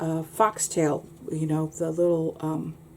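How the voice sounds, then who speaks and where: Over noticeable background noise, a woman with a fairly low pitch speaks at a fairly slow pace with fairly even intonation. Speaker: art teacher. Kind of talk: tutorial. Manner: halting, many fillers.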